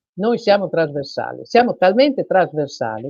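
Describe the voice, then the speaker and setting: At a moderate pace, a woman talks in a fairly low voice that moves through very wide pitch swings. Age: 60s. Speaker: self-employed workers' union representative. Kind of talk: live TV interview. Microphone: unstable internet connection.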